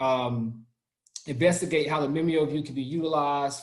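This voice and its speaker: A man speaks with a Southern US accent at a fairly high pitch. Room echo is audible. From US South. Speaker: product trainer. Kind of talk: online training session.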